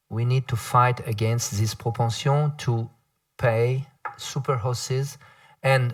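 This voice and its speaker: Speaking at a fairly slow pace with long, frequent pauses, a man with a French accent sounds somewhat breathy on a very clean recording with a silent background. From France. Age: 50s. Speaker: panel moderator. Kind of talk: panel discussion. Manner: halting.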